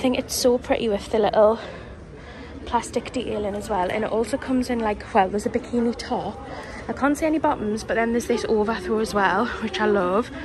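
A woman talks at a fairly quick pace with fairly even intonation. There is noticeable background noise. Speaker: shopping vlogger. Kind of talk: casual vlog chat. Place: shop.

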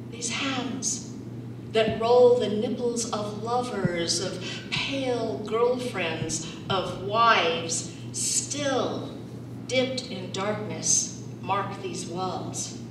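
A woman in an American accent at a very slow pace, with very wide pitch swings, audible room echo and noticeable background noise. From Salt Lake City, Utah. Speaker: performance poet. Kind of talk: poetry reading. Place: meeting room.

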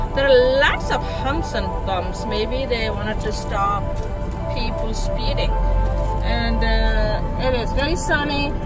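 A woman at a fairly slow pace over loud background music. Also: dry sound with no echo. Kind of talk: casual vlog chat. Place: car. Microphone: phone near.

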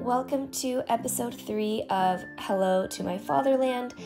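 A woman talks at a fairly slow pace with music playing behind her. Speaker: travel blogger. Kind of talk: travel vlog voiceover narration.

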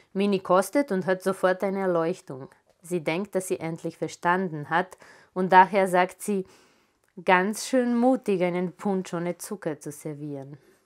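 Against a quiet background, a woman uses an ordinary speaking voice at medium pitch, with ordinary pitch variation and a fairly slow pace. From Serbia, Belgrade. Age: 40s. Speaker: author. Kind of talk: author reading her own literary prose aloud to a live audience. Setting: live reading event in a photo gallery. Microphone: lapel.

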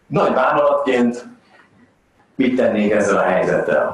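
With audible room echo around him, a man talks at a fairly low pitch. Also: lively intonation.

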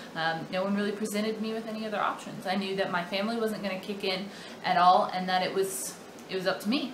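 The speech is very fast, with fairly even intonation. Noticeable background noise runs underneath. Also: woman, medium pitch for a woman. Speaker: personal finance vlogger. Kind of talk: casual vlog monologue. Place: home room. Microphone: webcam.

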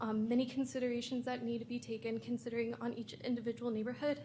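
A woman talks at a very fast pace with a high pitch and an American accent. Her intonation is monotone and flat, over noticeable background noise. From Texas, Austin. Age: 20s. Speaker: university student. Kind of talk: public comment. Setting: public hearing.

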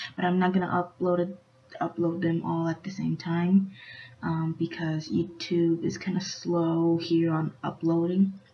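Fairly low in pitch, a woman speaks quietly. Her pace is fairly slow. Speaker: YouTube reaction vlogger; vlogger. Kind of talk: casual vlog talk; casual vlog chat. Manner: quiet, hushed. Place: home room. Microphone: webcam.

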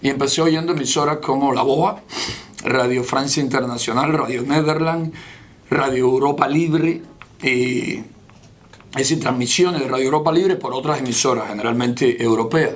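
Against noticeable background noise and audible room echo, a man talks at a moderate pace with a fairly high pitch and ordinary variation in it. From Cuba, rural Santiago de Cuba province. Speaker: opposition leader. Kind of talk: interview.

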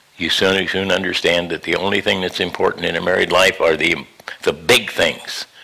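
A man's moderate-paced speech comes with noticeable background noise. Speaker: pastor. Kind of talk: sermon.

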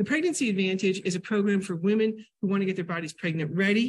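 The somewhat breathy voice moves at a very fast pace over a quiet background. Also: woman. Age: 60s. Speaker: nutrition educator and teacher; nutrition educator, teacher. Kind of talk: lecture. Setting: library classroom with audience, hybrid via Zoom. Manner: animated. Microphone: video call.

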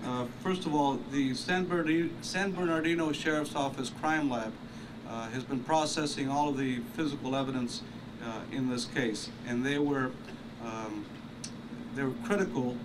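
A man at a moderate pace, ordinary pitch variation, and noticeable background noise. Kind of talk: press conference statement. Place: street. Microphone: podium.

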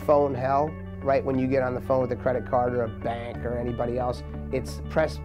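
A man at a moderate pace, with clear music in the background. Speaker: interviewee. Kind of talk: interview answer. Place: studio. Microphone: lapel.

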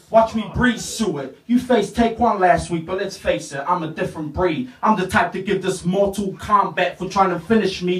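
In a room with audible echo, a man talks at a moderate pace with hardly any pauses and ordinary pitch variation. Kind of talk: a cappella battle rap. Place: home room.

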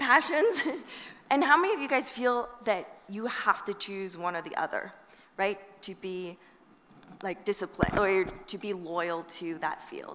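A woman talks at a fairly slow pace. Loud noise fills the background. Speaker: invited lecturer. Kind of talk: lecture. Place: hall. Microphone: headset.

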